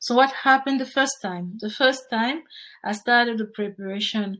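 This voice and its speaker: In a French accent, a woman speaks at a moderate pace with a fairly high pitch. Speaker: project management tutor. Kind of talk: tutorial.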